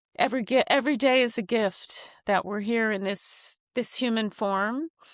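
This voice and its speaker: A woman's fairly high voice at a moderate pace, with ordinary pitch variation, on a very clean recording with a silent background. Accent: American. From Japan, then raised in the US. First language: Japanese. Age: 60s. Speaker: singer. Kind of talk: interview conversation.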